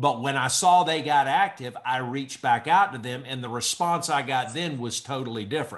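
A man speaks with hardly any pauses and ordinary pitch variation. The background is quiet. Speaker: real estate agent. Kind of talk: casual group discussion. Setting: video call. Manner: fast talker. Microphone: webcam.

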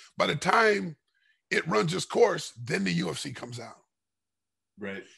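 With an American accent, a man speaks at a fairly slow pace in a bright, sharp tone with vocal fry and very wide pitch swings over a quiet background. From Los Angeles, California. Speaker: martial artist and former MMA fighter; podcast guest. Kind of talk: casual interview chat. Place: kitchen. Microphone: headset.

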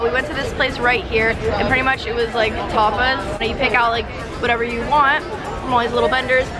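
Clear music in the background plays as a woman talks. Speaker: travel vlogger. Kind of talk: casual vlog chat. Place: street. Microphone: phone near.

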